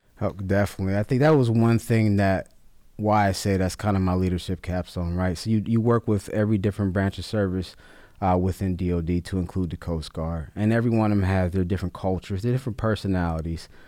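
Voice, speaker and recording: A man's very deep, low voice with a dark, mellow tone and an American accent, at a very fast pace with fairly even intonation, in a very clean recording with a silent background. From Ohio, Cleveland Heights. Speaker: military senior enlisted leader. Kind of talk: podcast interview. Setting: studio.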